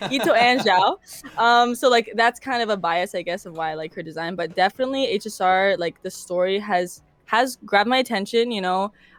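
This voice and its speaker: Over music in the background, the voice has ordinary pitch variation and a dry, close sound with no echo. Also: woman, medium pitch for a woman, fairly quick pace. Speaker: streamer. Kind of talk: casual interview. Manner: loud; animated.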